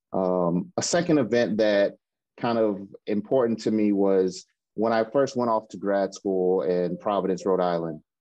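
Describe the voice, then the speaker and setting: A man with an American accent has an unremarkable speaking voice. He talks at a fairly slow pace in a fairly low pitch, with ordinary pitch variation. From US South, Mississippi. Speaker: hospital IT supervisor. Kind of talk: interview conversation.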